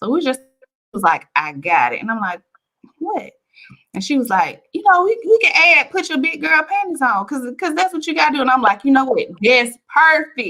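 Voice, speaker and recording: Projected and raised, a woman's high, bright, sharp voice sounds animated as her pitch swings very widely. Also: moderate pace. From Alabama, US South (Bessemer). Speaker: author. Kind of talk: interview. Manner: loud.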